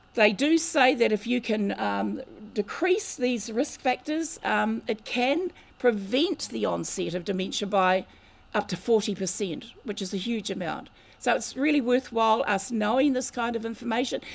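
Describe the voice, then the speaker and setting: A woman with a New Zealand accent speaks at a fairly slow pace, her fairly high voice showing vocal fry and lively intonation. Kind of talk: lecture. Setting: community hall with audience.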